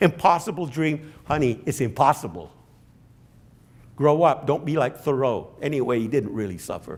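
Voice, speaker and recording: At a moderate pace, a man speaks with a fairly high pitch, lively intonation and vocal fry. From British West Indies. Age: 70s. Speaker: professor. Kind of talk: lecture Q&A. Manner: halting, repetitive.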